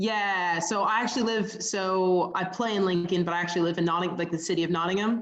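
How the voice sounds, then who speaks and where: A woman with an American accent, medium pitch, fairly even intonation and very even loudness, fairly quick with hardly any pauses. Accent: American with a slight English tinge. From Pittsburgh, Pennsylvania, US. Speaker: footballer. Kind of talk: interview. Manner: hesitant, many fillers.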